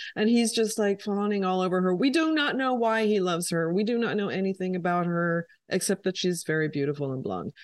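Lively intonation marks this woman's medium-pitched voice. She talks at a fairly quick pace with hardly any pauses against a quiet background. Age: 50s. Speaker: podcast co-host, photographer. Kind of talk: casual chat.

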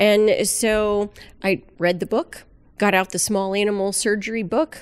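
A woman speaks with an American accent at a medium pitch, in an ordinary speaking voice. The recording is very clean, with a silent background. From South Florida. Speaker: aquarium veterinarian. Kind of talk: casual interview.

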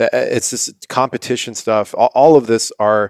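Here is an unremarkable speaking voice: a man with an American accent, medium pitch and a fairly slow pace. The sound is dry and close with no echo, on a very clean recording with a silent background. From US West Coast, San Diego. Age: 30s. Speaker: health product founder. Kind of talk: casual chat.

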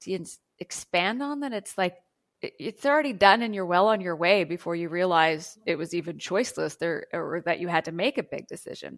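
With lively intonation and a fairly low pitch, a woman talks at a fairly quick pace in a dry, close sound with no echo. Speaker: spiritual channeler and author. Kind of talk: casual interview chat.

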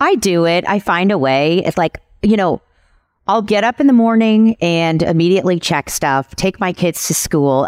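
In an American accent, a woman speaks with lively intonation at a moderate pace, in an unremarkable speaking voice. The sound is dry and close, with no echo. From Kansas City, US Midwest. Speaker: PR agency owner. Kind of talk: casual interview.

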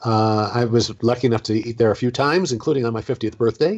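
Medium pitch, a normal speaking voice and a fairly quick pace from a man. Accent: American. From Southern California. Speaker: former theme park performer and author. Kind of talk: interview.

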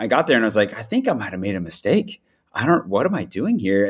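Over a very clean recording with a silent background, a man with an American accent talks at a very fast pace with lively intonation. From US Pacific Northwest. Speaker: expat living in Paris. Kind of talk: casual interview chat.

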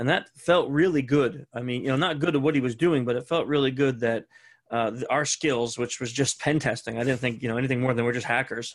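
A man with a normal speaking voice, fairly quick and medium in pitch, with fairly even intonation, in a very clean recording with a silent background. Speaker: security expert and author. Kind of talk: casual interview chat.

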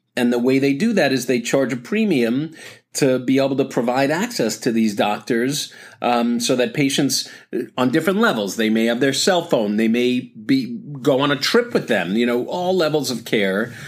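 With an ordinary speaking voice, a man at medium pitch talks at a moderate pace, his intonation lively and his loudness very even. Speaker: doctor podcast host. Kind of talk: casual chat. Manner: casual, rambling, self-correcting.

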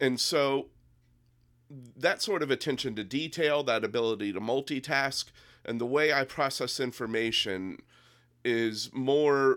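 Here a man speaks in an unremarkable speaking voice at a medium pitch, with ordinary pitch variation. His pace is fairly slow, and the recording is very clean with a silent background. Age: 50s. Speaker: political candidate. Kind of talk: casual chat.

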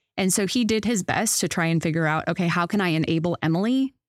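A woman's fairly low voice in an American accent with ordinary pitch variation, dry and close with no echo, on a very clean recording with a silent background. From Wisconsin, US Midwest. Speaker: former overseas missionary and book editor. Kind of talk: interview.

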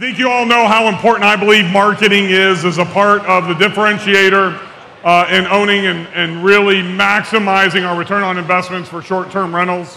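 Noticeable background noise runs under this man's high-pitched voice. He talks at a fairly quick pace in a monotone, flat intonation. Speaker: event organizer. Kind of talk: stage introduction. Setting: stage with audience.

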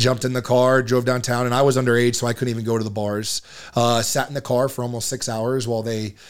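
Very fast, with fairly even intonation, a man with an American accent speaks at a medium pitch. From US South, Marietta, Georgia. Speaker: blacksmith and knife maker, army veteran. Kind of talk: casual interview conversation.

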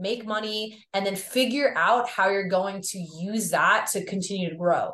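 Ordinary pitch variation with a slight Long Island accent. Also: woman. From Long Island, New York. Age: 30s. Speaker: drummer, model, nutritionist and yoga instructor. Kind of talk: casual interview chat.

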